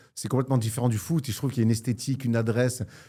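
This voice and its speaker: A somewhat breathy, dark, mellow voice with fairly even intonation on a very clean recording with a silent background. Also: man. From Marseille, southern France. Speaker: sports journalist. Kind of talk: casual chat.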